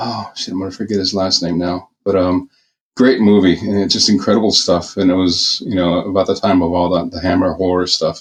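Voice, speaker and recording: A man with an American accent speaks at a fairly quick pace. His pitch is very deep and low, and his intonation is fairly even. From US Southwest (Phoenix, Arizona), Mexican American. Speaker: film makeup and effects artist. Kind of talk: podcast interview. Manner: halting, many fillers.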